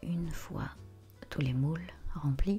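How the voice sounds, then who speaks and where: Over music in the background, a soft-spoken woman talks at a very slow pace with lively intonation. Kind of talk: ASMR vlog, soft-spoken cooking demonstration to camera.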